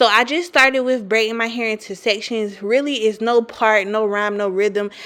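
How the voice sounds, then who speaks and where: Fairly high-pitched woman, bright and sharp in tone, with fairly even intonation at a moderate pace. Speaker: hair and beauty vlogger. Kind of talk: tutorial voiceover. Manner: casual, chatty.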